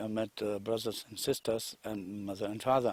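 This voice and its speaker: Moderately paced, monotone speech with a German accent, in a very clean recording with a silent background and a dry, close sound free of echo. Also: man. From Germany. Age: 60s. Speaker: retired investor telling his story. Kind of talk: testimony. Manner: halting.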